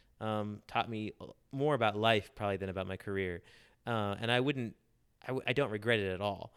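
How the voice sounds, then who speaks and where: An ordinary speaking voice comes through at a fairly quick pace. The intonation stays fairly even. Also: man, fairly low pitch for a man. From US South, Charlotte, North Carolina. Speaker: journalist turned professional. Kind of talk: interview.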